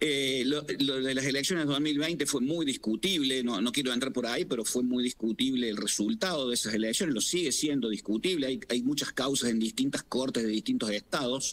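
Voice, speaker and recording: A man talks at medium pitch with ordinary pitch variation. His loudness stays very even, with hardly any pauses. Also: fairly quick pace. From Argentina. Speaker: political scientist and professor; professor. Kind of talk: expert interview.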